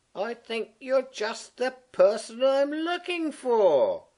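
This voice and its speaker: A man's put-on character voice, extremely high-pitched, at a very slow pace. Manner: gentle.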